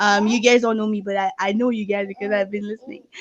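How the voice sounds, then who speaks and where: A woman with a French accent at a fairly quick pace. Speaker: talk show panelist, married mother. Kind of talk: panel discussion. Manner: halting, many fillers.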